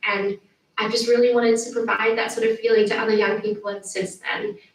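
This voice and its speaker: The woman's fairly high pitch comes with monotone, flat intonation. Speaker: award winner. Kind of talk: acceptance speech. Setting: pre-recorded video message.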